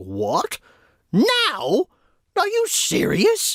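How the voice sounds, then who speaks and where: The speaker uses a put-on character voice pitched extremely high. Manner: exasperated, incredulous.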